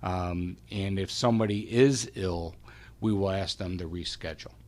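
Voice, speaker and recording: Here is a man with a normal speaking voice, fairly low in pitch, at a moderate pace. His intonation is fairly even on a very clean recording with a silent background. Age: 60s. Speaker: medical practice administrator. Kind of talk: radio interview.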